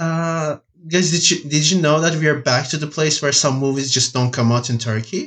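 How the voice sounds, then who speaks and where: A man with a plain, everyday voice speaks at a moderate pace. His pitch is fairly high, with ordinary pitch variation. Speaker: podcast co-host. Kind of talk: casual chat.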